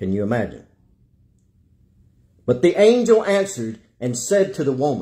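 In a quiet setting, a man speaks at a moderate pace with long, frequent pauses. His fairly high voice is somewhat breathy, dark and mellow, with very wide pitch swings. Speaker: evangelist, preacher. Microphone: phone near.

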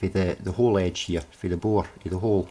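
The man's voice is somewhat breathy and fairly low in pitch. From UK. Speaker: hobbyist HHO cell builder. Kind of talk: workshop demonstration talk to camera. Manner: hesitant, casual. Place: workshop. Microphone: phone near.

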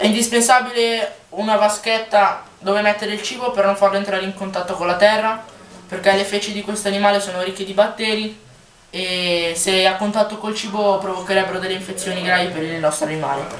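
A medium-pitched woman at a fairly quick pace, intonation fairly even, with audible room echo. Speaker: pet keeping youtuber. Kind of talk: tutorial. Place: home room. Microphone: low quality camera; phone near.

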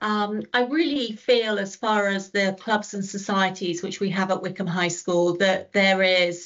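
A woman speaks in a British accent at a moderate pace, her intonation fairly even, against a quiet background. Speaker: school staff member. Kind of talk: presentation talk to prospective parents. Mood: warm, enthusiastic. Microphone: webcam.

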